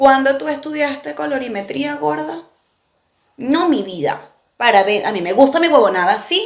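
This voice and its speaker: In a Venezuelan accent, a woman talks in an animated tone at a high pitch. Her pitch swings very widely. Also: moderate pace. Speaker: podcast co-host. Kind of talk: casual chat.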